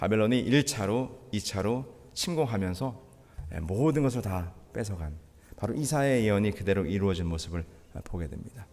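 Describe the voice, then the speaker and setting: Lively intonation from a man at a moderate pace, with long, frequent pauses and audible room echo. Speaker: pastor. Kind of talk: sermon. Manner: halting.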